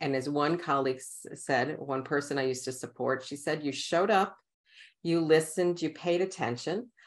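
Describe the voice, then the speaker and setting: With an American accent, a woman talks at a moderate pace against a quiet background. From New York City, Queens. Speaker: author and coach. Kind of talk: interview podcast.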